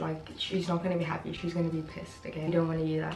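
There is audible room echo and light background noise. A woman talks at a fairly low pitch. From South Africa. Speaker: lifestyle vlogger. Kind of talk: casual talk to camera. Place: home room. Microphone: camera far.

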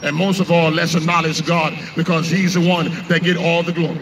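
A man's high-pitched voice at a fairly quick pace, with noticeable background noise. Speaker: street preacher. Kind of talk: street preaching. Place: street. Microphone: handheld.

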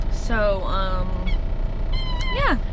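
A woman's voice sounds dry and echo-free over noticeable background noise. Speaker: truck driver vlogger. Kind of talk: casual vlog chat. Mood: frustrated, embarrassed storytelling. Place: car. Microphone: phone near.

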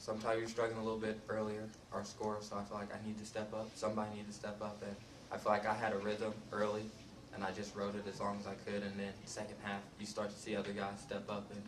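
Through noticeable background noise, a man with a fairly low pitch speaks at a very fast pace. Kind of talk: interview answer. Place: hall.

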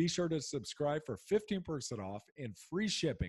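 Against a quiet background, a man's fairly high, somewhat breathy voice swings very widely in pitch. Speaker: podcast host, former football player. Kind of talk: podcast interview. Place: home room. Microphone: studio mic.

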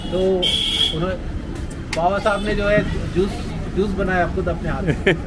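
A man at a moderate pace with long, frequent pauses, against loud background noise. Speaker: tea stall owner. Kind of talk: casual conversation. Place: market. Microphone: phone near.

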